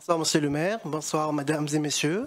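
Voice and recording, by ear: Fairly high in pitch, a man's voice has a fairly bright tone and ordinary pitch variation. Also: moderate pace.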